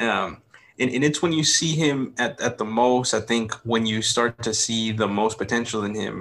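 In an American accent, an ordinary speaking voice carries ordinary pitch variation. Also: man. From United States. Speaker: podcast co-host. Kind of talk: casual chat.

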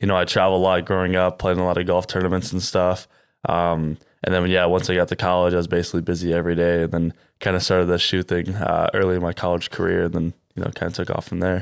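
A man talks at a very fast pace with a Midwestern US accent, his pitch very deep and low. His intonation is monotone and flat, on a very clean recording with a silent background. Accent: US Midwest. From Iowa (Cedar Rapids). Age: 20s. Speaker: young entrepreneur, sneaker store co-founder. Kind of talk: interview. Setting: on location in a shoe store at a mall.

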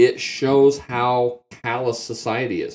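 With ordinary pitch variation, this is an unremarkable speaking voice. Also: man. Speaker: podcast host. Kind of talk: casual banter. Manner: joking, irreverent.

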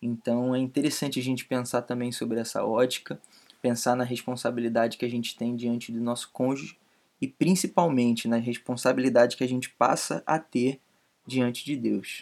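Fairly even intonation in a plain, everyday voice. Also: man, medium pitch for a man, moderate pace. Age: 20s. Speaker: podcast co-host. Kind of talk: casual chat.

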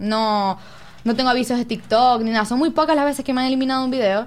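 Speaking in a Zulian accent, a woman has a fairly high-pitched voice. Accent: Venezuelan Zulian (maracucho) Spanish. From Venezuela, Zulia (Maracaibo). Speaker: TikTok creator. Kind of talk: casual chat. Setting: studio.

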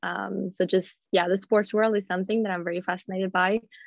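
Speaking at a fairly quick pace, a woman uses a medium pitch. Her intonation is monotone and flat. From Sweden, Gothenburg. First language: Swedish. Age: 20s. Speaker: professional golfer. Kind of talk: casual interview.

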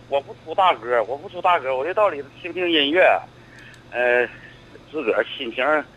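A man speaks at a moderate pace with a fairly high pitch and lively intonation, his loudness swinging widely. Long pauses come often, and there is noticeable background noise. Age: 60s. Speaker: retired civil servant. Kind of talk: phone-in call. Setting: phone call. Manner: stammering.

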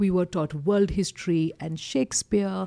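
A woman with an Indian accent, medium pitch and a dark, mellow tone at a moderate pace, in a very clean recording with a silent background. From eastern India. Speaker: corporate trainer and communication coach. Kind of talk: casual interview chat. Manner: straightforward, assertive.

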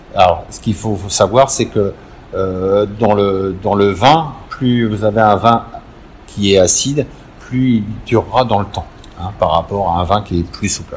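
Noticeable background noise sits behind a man with fairly low pitch. He speaks at a fairly slow pace with ordinary pitch variation. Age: 50s. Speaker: winegrower. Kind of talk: interview. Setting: on location at a vineyard. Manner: halting, many repetitions and fillers.

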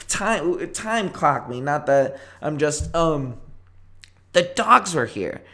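Very slowly, a man with a fairly high voice speaks with lively intonation. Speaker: podcast host. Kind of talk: casual chat. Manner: casual, joking.

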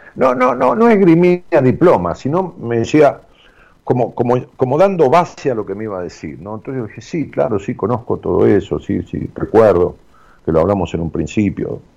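A man in a Rioplatense accent at medium pitch, moderate pace and very wide pitch swings. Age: 60s. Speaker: radio host. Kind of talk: casual radio talk with listener call-ins. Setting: radio studio. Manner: hesitant, fillers and repetitions.

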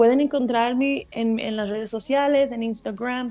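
A woman's fairly high voice is heard with music playing in the background. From Texas. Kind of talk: radio interview. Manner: halting, with repeated words and fillers.

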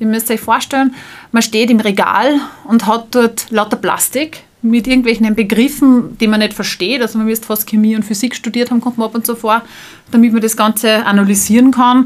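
A woman with a Salzburg accent, a fairly high pitch and monotone, flat intonation at a fairly quick pace, over noticeable background noise. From Austria, Salzburg. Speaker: startup founder. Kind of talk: interview.

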